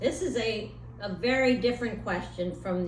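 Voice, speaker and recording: This is a woman speaking. Noticeable background noise is present. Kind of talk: interviewer questions for school kids.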